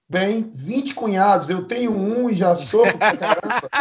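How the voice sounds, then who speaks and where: A man talks fairly slowly in a high pitch, with ordinary pitch variation. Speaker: union-member colleague joining interview. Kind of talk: casual interview.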